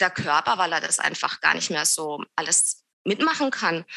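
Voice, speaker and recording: The woman's tone is bright and sharp. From southern Germany near Swiss border (Lörrach, Baden). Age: 30s. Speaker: yoga teacher and studio owner. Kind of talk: interview conversation. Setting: video call.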